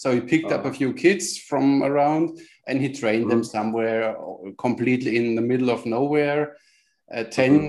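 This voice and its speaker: A man with a German accent speaks at a fairly quick pace. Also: medium pitch for a man, ordinary pitch variation. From Germany. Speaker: podcast co-host, archer. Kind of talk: casual interview chat. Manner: animated.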